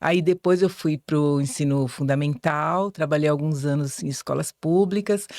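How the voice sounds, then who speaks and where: A voice with ordinary pitch variation moves at a fairly slow pace with hardly any pauses, recorded very cleanly against a silent background in a dry, close sound with no echo. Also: woman, very deep, low pitch for a woman. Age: 60s. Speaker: teacher and journalism student. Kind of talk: podcast interview. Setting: studio.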